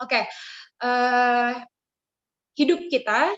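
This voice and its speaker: In a strong Jakarta accent, a woman speaks at a high pitch with ordinary pitch variation. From Jakarta, Indonesia. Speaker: youth speaker. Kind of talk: devotional talk. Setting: video call. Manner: casual with fillers.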